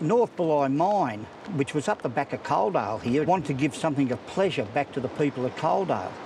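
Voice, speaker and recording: A man with a strong Australian accent speaks at a fairly high pitch. His voice is somewhat breathy, with lively intonation. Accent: broad Australian. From Australia, New South Wales south coast. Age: 60s. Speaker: swimming club president. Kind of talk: casual interview.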